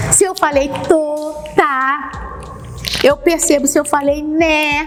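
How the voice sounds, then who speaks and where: A woman speaks very slowly in a high pitch with monotone, flat intonation. Noticeable background noise and audible room echo fill the recording. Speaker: homiletics teacher. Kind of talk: lecture. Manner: gestures with hands while speaking.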